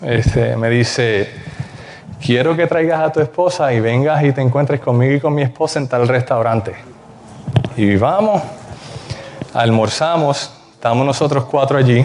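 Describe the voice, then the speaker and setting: Over noticeable background noise, a man talks at medium pitch with ordinary pitch variation, very even loudness, and long, frequent pauses. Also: moderate pace. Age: young. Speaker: preacher. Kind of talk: sermon.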